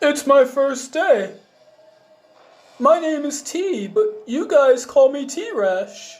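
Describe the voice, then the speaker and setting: Using a put-on character voice, a man speaks at a very slow pace with long, frequent pauses. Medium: read story. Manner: flat, repetitive, staring.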